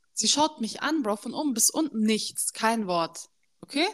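Very wide pitch swings mark this woman's animated tone as she speaks at a fairly slow pace. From Germany. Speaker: podcast co-host. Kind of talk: casual chat. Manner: animated, code-switching German and English.

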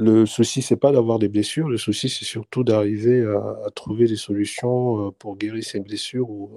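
A man talks at a very slow pace in a dark, mellow tone. His intonation is monotone and flat, over a quiet background. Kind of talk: casual debate. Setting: online livestream.

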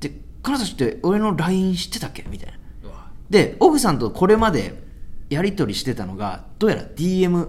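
A man's high-pitched voice at a moderate pace, with very wide pitch swings, big swings in loudness and audible room echo. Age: 30s. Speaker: stand-up comedian and podcast host. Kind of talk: casual chat.

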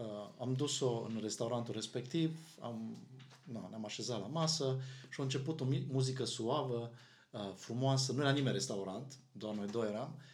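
In a space with audible room echo, a man talks at a moderate pace and medium pitch with ordinary pitch variation. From Romania, Arad. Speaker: pastor. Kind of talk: casual chat.

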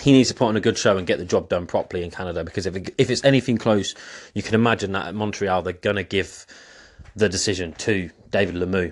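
A man talks at a very fast pace with an English accent against a quiet background. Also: fairly low pitch for a man, ordinary pitch variation. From England. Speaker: boxing commentator, former amateur boxer. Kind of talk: solo commentary monologue.

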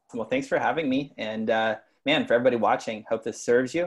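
A man talks at a very fast pace in an American accent. The background is quiet. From US South, East Texas. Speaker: personal development coach. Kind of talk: casual chat.

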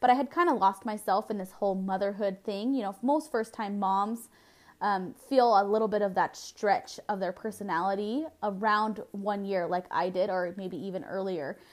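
A woman with an American accent at a moderate pace. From Southern California. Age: 20s. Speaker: podcast host, network marketer. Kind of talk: solo podcast monologue.

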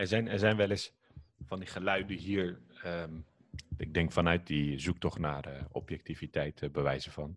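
Very deep, low male voice at a fairly slow pace, with ordinary pitch variation. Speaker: podcast host. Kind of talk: casual podcast interview.

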